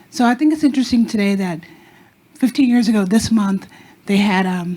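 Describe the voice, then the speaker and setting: At a moderate pace, the talking goes on over noticeable background noise. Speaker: audience member asking a question. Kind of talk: audience question at panel.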